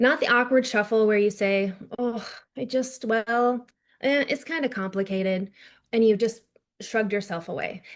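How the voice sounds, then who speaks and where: In an American accent, a woman talks at a fairly high pitch with ordinary pitch variation. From North Dakota, US. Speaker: PR strategist and author. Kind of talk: keynote speech. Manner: fast.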